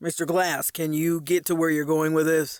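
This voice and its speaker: A man puts on a character voice, speaking fairly high for a man in a flat monotone, with a dry, close sound and no echo. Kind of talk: courtroom speech. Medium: read story. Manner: brisk, formal.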